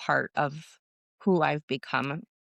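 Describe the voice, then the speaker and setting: In an American accent, a woman with a very deep, low pitch talks at a very slow pace with fairly even intonation, in a very clean recording with a silent background and a dry, close sound with no echo. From Southern California. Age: 30s. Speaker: business founder and agency owner. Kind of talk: podcast interview.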